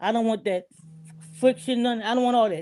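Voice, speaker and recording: Music plays behind a woman who talks at a very fast pace with ordinary pitch variation. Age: 70s. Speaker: online show host. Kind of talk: personal testimony in group chat. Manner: animated, repetitive storytelling.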